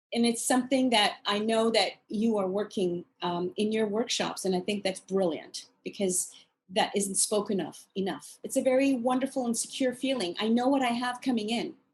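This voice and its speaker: A woman's somewhat breathy, fairly high voice at a moderate pace with hardly any pauses. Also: ordinary pitch variation. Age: 60s. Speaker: author and course creator. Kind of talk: interview.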